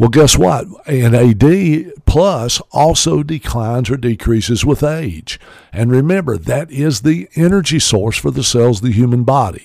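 With a Southern US accent, a man speaks at a fairly slow pace and medium pitch. His voice swings very widely in pitch. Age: 60s. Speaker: radio host. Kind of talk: radio show talk about supplements. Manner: informal, filler-heavy, promotional.

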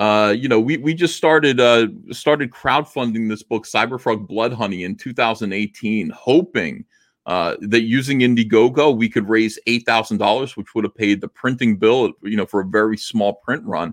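In an ordinary speaking voice, a man talks at a moderate pace and medium pitch with ordinary pitch variation, recorded with a dry, close sound with no echo. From New Jersey. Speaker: comic book artist and publisher. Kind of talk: casual interview.

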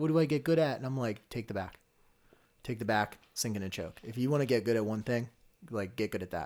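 A man's medium-pitched, unremarkable speaking voice at a fairly quick pace, with ordinary pitch variation and a very clean recording against a silent background. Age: 20s. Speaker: amateur MMA fighter. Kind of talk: casual chat.

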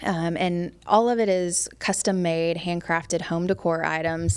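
In an American accent, a woman with a normal speaking voice talks at a moderate pace with fairly low pitch and fairly even intonation. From US South, Memphis, Tennessee. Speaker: tech saleswoman and woodworking business owner. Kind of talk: casual interview.

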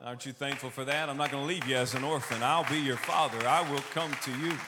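With a Texan accent, a man speaks in a bright, sharp tone with ordinary pitch variation and audible room echo. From Texas, Austin. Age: 30s. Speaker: preacher. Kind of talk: sermon. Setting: church service.

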